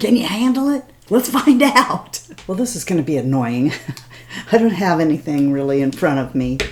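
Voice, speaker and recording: This woman's voice sits fairly low and swings very widely in pitch. She talks at a moderate pace over noticeable background noise. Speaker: beauty vlogger. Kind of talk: casual talk to camera. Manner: rambling, chatty.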